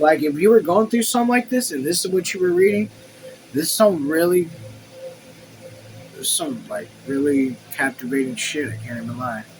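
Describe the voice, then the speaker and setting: An animated tone comes at a moderate pace with long, frequent pauses and noticeable background noise. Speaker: YouTuber reading a book aloud with commentary. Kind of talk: reading aloud with casual commentary. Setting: home room.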